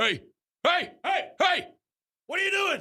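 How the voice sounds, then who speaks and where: A man puts on a character voice and talks fairly slowly. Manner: scolding, stern.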